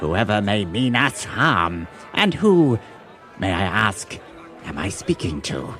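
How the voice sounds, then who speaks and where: A man puts on a character voice in a fairly low register, swinging his pitch very widely at a fairly slow pace. Long, frequent pauses break it up while clear music plays in the background. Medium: actual play. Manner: formal, ornate.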